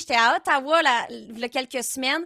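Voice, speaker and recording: A woman's high, bright, sharp voice, raised and projected, animated and lively in intonation, with a Quebec accent and a dry, close sound with no echo. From Quebec, south shore of Montreal. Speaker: streamer and content creator. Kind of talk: live interactive stream hosting.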